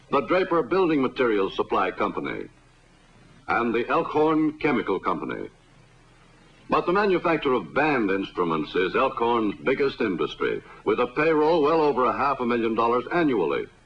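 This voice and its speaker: With lively intonation and very even loudness, a man speaks at a fairly high pitch with vocal fry. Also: moderate pace. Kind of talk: newsreel narration.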